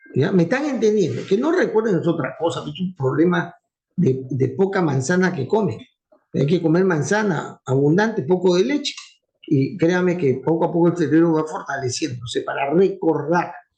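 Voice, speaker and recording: In a room with audible echo, a man with a high voice and a dark, mellow tone talks at a moderate pace with lively intonation. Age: old. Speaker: university professor. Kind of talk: lecture. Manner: fluent.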